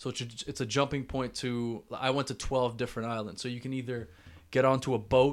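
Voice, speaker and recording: A man with a Canadian accent speaks at a fairly quick pace in a medium pitch, with a normal speaking voice. The recording is very clean, with a silent background. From Canada, Toronto. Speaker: podcast host. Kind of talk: solo storytelling monologue. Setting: talking to camera. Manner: casual, filler-heavy.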